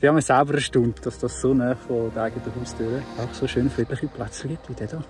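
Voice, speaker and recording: Over background music, a man with a Swiss accent speaks at a fairly quick pace with hardly any pauses. His pitch is medium and his intonation fairly even. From Switzerland. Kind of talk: casual vlog talk to camera.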